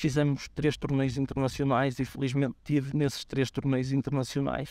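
Against a quiet background, a man talks at a moderate pace with a dry sound with no echo. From northern Portugal, Guimarães area; northern Portugal. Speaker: football coach. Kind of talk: interview. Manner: halting, many fillers and repetitions. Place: stadium.

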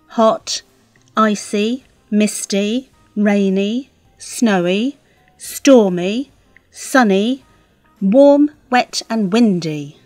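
A woman's fairly high voice with a British accent, very slow and lively in intonation, broken by long, frequent pauses, dry and close with no echo, music in the background. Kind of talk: scripted dialogue for English learners.

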